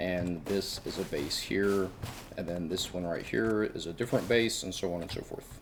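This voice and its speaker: With an American accent, a man speaks in a very deep, low pitch. His pace is moderate and his intonation fairly even. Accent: southern US, thick per some. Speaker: gaming YouTuber. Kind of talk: game base tour narration. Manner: casual, conversational.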